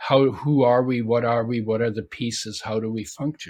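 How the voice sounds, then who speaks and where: A man talks at a moderate pace in a somewhat breathy voice with ordinary pitch variation. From Germany. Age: 80s+. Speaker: author and nutrition expert. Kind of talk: interview. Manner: halting.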